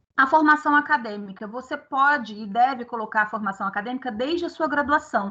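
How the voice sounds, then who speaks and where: Against a quiet background, a woman with a high pitch and a bright, sharp tone talks at a fairly quick pace with hardly any pauses, ordinary pitch variation and big swings in loudness. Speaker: professor. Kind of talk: online workshop lecture.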